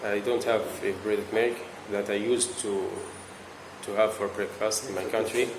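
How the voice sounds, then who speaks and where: With audible room echo and noticeable background noise, a man speaks at a fairly quick pace in a fairly low, monotone, flat voice, leaving long, frequent pauses. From Libya. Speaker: international university student. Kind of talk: interview. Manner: halting, repeats words.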